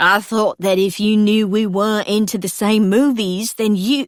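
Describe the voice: Putting on a character voice with an Australian accent, a woman speaks at a medium pitch and a moderate pace with fairly even intonation. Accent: Australian, poorly imitated.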